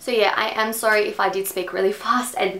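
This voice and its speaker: A woman speaks with an Australian accent at a moderate pace. Her pitch is fairly high, and audible room echo surrounds her voice. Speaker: beauty vlogger. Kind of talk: product review. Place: home room.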